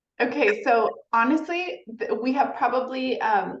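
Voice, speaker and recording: A woman speaks at a moderate pace. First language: Spanish. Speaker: marketing agency founder. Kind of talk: podcast interview.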